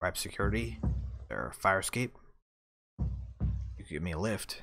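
In a put-on character voice, a man talks at a moderate pace with a raspy, very deep, low pitch and very wide pitch swings, on a very clean recording with a silent background. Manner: dry, wry, determined.

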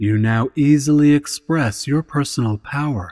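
A man with a plain, everyday voice, fairly slow pace and ordinary pitch variation, in a dry, close sound with no echo over a silent background and a very clean recording. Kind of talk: positive affirmation programming.

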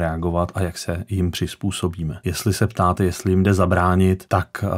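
Monotone, flat intonation at a moderate pace over a quiet background. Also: man. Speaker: guest. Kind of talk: interview answer. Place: studio.

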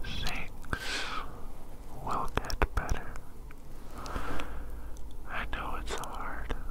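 The pace is very slow. Long pauses come often. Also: man. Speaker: ASMR creator. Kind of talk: ASMR caring friend roleplay. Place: home room. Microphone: studio mic.

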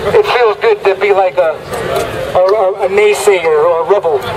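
Crowd noise fills the background as a man speaks at a moderate pace. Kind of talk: street preaching speech. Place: street. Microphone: phone near.

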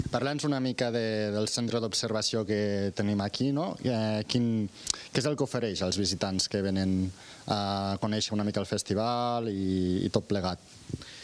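A man's fairly low voice, fairly slow, with very even loudness and fairly even intonation, a normal speaking voice. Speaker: TV reporter. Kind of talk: live field report. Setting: outdoors. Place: open country. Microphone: handheld.

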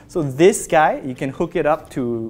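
Faint music plays in the background while a man speaks with ordinary pitch variation. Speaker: product reviewer. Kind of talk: unboxing commentary. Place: office. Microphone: lapel.

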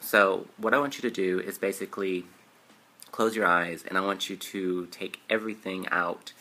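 The pace is moderate and the intonation fairly even. The tone is bright and sharp. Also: man, fairly low pitch for a man. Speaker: YouTuber. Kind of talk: guided meditation with repeat-after-me affirmations. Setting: solo video to camera. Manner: warm, sincere, chatty. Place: home room. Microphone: webcam.

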